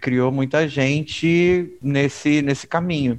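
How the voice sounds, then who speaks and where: A man speaks with a fairly high pitch. His pace is very slow. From Rio de Janeiro, Baixada Fluminense (Caxias). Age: 30s. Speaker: podcast co-host. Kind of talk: casual chat. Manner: animated.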